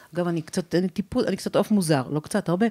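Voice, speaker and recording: A woman's fairly low-pitched voice with a dark, mellow tone. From Israel, Ramat HaSharon. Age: 50s. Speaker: courage coach and speaker. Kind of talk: podcast interview.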